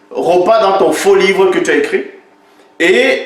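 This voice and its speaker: Noticeable background noise and audible room echo around a male voice of ordinary pitch variation. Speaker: religious critic video maker. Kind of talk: polemical commentary. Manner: animated.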